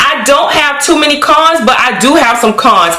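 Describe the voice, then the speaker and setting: A woman's voice with ordinary pitch variation, audible room echo, and noticeable background noise. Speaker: wig review beauty youtuber. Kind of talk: product review vlog. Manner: fast; animated.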